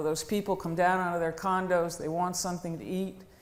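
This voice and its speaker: A woman with a fairly low voice speaks amid audible room echo. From New England. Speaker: woodworking business owner. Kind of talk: conference talk.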